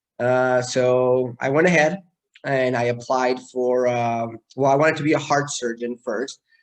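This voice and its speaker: The speaker is a man with a Mexican accent. He talks at a medium pitch and a fairly slow pace. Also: fairly even intonation. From Mexico City. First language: Spanish. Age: 30s. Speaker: neurosurgeon. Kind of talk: talk to students. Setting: video call. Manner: hesitant, many fillers.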